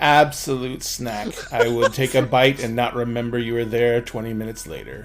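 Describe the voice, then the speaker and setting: Over clear music in the background, a man performs a gravelly put-on character voice at a medium pitch and moderate pace. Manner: grumbly.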